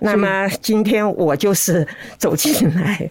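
A woman speaks with vocal fry. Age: 80s+. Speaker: host's elderly mother, interview guest. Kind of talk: casual chat.

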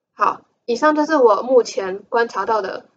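Her tone is animated and her intonation lively. This woman speaks with a high pitch. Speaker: podcast host. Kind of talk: casual solo monologue.

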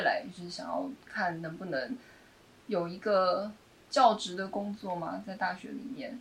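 Against noticeable background noise, a woman speaks at a fairly slow pace with lively intonation and big swings in loudness. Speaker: playwright. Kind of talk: casual chat.

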